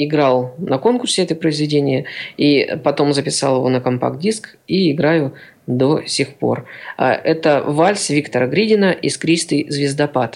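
This man has an unremarkable speaking voice, pitched fairly high. He talks at a fairly slow pace with ordinary pitch variation. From Siberia, Kemerovo region. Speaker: accordion player and teacher. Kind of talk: radio interview.

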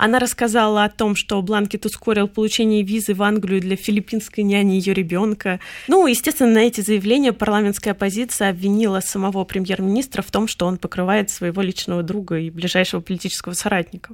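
A woman with a medium pitch and fairly even intonation talks very fast. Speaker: university lecturer and translator. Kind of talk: radio interview.

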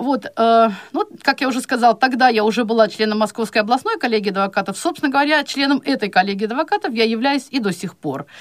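With an unremarkable speaking voice, a woman talks fairly quickly at a fairly high pitch, her intonation lively. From Chuvashia, Russia. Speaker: blind law lecturer. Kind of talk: radio interview.

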